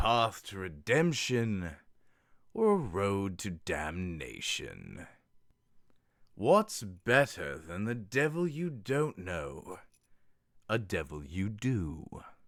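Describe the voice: Putting on a character voice, a man speaks at a very slow pace in a fairly low pitch with long, frequent pauses, and the recording is very clean with a silent background.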